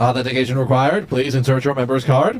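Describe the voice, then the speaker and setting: Very fast and robotic, this put-on character voice rattles along. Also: man. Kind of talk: machine prompt.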